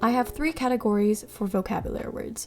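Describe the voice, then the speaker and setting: Amid noticeable background noise, a woman talks very fast at a fairly high pitch with fairly even intonation. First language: Mandarin. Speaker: language learning youtuber. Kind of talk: tutorial; scripted narration.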